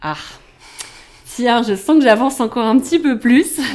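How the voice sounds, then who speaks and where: A woman talks at a fairly slow pace. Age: 30s. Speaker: journalist and online shop owner, mother. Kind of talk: casual interview about breastfeeding. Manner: hesitant, many fillers.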